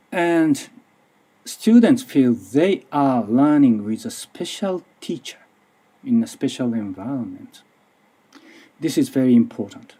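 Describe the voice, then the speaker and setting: In a Japanese accent, a man with a fairly high pitch and a dark, mellow tone talks at a fairly slow pace, with very wide pitch swings and long, frequent pauses. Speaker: language teacher and researcher. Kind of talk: conference presentation. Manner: halting.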